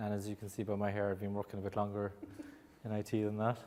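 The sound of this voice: Speaking fast with an Irish accent, a man uses a fairly low pitch and a monotone, flat intonation. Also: slightly mellow tone.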